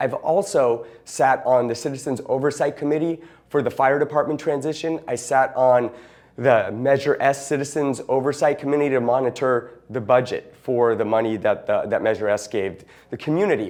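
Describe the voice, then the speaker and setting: Here a man with an American accent talks at a moderate pace. His pitch is medium, with ordinary variation. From Hermosa Beach, Southern California. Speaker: city council candidate. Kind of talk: campaign statement. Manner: casual, halting.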